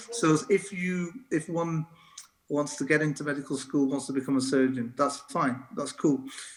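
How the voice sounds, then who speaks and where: A man with a slight northern English accent talks at a fairly high pitch with ordinary pitch variation. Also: moderate pace. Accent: light northern English. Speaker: doctor and medical lecturer. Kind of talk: interview conversation. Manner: halting, many fillers and restarts.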